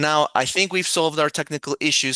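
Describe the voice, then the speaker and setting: This man talks at a fairly quick pace in a fairly high pitch, with a bright, sharp tone, fairly even intonation and a non-native accent. The sound is dry and close with no echo, over a quiet background. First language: not English. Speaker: moderator. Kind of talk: panel moderation. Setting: video call.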